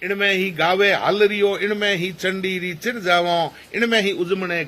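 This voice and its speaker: A man speaks with a Rajasthani accent in a high pitch. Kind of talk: poetry reading.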